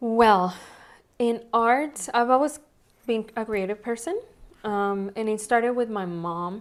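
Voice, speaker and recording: A woman with a Spanish accent speaks fairly slowly at a fairly high pitch, with ordinary pitch variation and long, frequent pauses, in a very clean recording with a silent background. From Mexico (Monterrey), moved to Texas at 15. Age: 30s. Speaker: nail technician and salon owner. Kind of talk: interview. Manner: conversational, many fillers.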